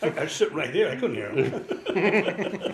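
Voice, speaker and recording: A man talks in an American accent. There is noticeable background noise. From New York City, Manhattan. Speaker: religious brother. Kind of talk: interview. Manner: conversational.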